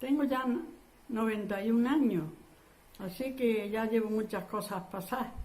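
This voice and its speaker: Amid audible room echo, a woman speaks at a fairly high pitch with ordinary variation, her dark, mellow tone somewhat breathy. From Andalusia, Spain (Huesa, Jaén). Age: 80s+. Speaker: war survivor. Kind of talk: oral history interview. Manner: halting.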